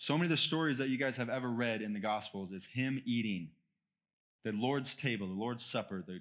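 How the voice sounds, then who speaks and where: A man speaks in a normal speaking voice with an American accent, at a medium pitch with ordinary pitch variation. The recording is very clean, with a silent background. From United States. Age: 30s. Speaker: guest preacher. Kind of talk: sermon. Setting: church with congregation.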